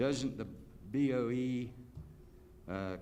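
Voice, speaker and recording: A man talks with ordinary pitch variation, with audible room echo around him. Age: 70s. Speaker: public commenter. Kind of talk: public comment at board meeting. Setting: school board meeting.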